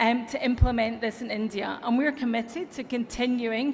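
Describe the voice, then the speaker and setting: An enthusiastic woman with an American accent and a high pitch speaks at a moderate pace with ordinary pitch variation over noticeable background noise. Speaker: tech company executive speaker. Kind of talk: conference keynote speech. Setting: stage with audience.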